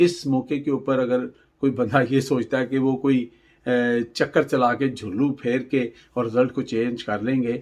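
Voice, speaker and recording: A man's unremarkable speaking voice at medium pitch. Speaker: news commentator. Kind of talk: political news commentary.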